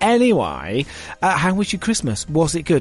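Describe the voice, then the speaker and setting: A man speaking with music in the background. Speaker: radio DJ. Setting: radio studio. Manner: upbeat, chatty, warmly conversational, self-deprecating, addressing listeners directly.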